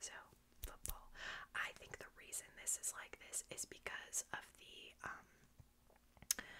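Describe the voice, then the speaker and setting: A woman, whispering. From United States. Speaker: ASMR creator. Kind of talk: ASMR close-whisper tutorial. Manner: whispered, soft-spoken. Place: home room. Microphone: studio mic.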